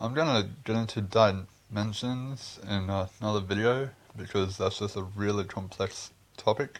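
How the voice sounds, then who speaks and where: With an Australian accent, a man speaks at a fairly low pitch. His pace is moderate and his intonation fairly even. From Australia, Queensland. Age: 20s. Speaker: video blogger. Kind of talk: casual monologue vlog. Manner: rambling, hesitant.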